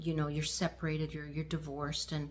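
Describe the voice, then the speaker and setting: A woman with a Canadian accent speaks with vocal fry. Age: 60s. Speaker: lifestyle vlogger. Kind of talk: casual talk to camera. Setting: at home.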